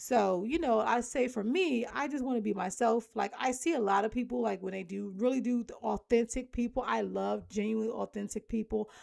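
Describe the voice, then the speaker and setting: A woman speaks at a moderate pace, her fairly high voice showing ordinary pitch variation. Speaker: homemaker vlogger. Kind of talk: casual vlog chat.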